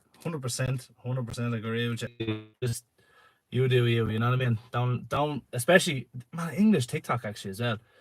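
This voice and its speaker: At a fairly quick pace, a man talks in a medium pitch that is somewhat breathy, with ordinary pitch variation. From Ireland, Dublin. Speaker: lorry driver and livestreamer. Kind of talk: casual live stream chat. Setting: live stream from a shed. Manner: chatty, with many fillers.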